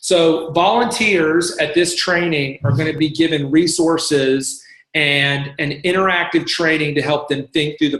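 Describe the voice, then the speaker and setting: This is a plain, everyday voice with fairly even intonation, moving at a fairly slow pace. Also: man. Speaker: church staff member leading volunteer training. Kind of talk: online training presentation. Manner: casual with many fillers.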